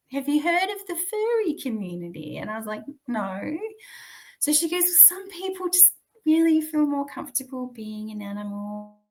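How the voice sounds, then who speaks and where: At a moderate pace, a woman with an Australian accent speaks in a high pitch with very wide pitch swings. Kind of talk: interview answer.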